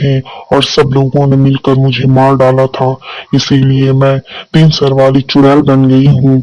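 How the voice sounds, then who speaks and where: A man uses a cartoonish character voice at a medium pitch. He speaks monotone and flat at a moderate pace. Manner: angry, menacing.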